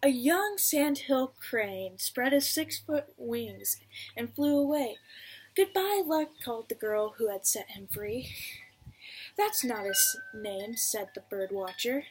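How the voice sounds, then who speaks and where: Over noticeable background noise, a woman talks very slowly in a high voice, her pitch swinging very widely and her loudness shifting a lot. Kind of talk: read-aloud children's story.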